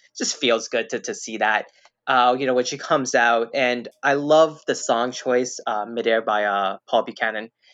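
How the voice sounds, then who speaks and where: Here a man talks in a normal speaking voice at medium pitch. He keeps a moderate pace and fairly even intonation. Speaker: guest. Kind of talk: casual chat.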